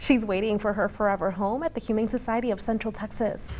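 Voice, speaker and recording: A woman with a plain, everyday voice speaks at a fairly quick pace, her fairly high pitch showing ordinary pitch variation. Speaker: TV news anchor and reporter. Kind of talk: TV news anchoring.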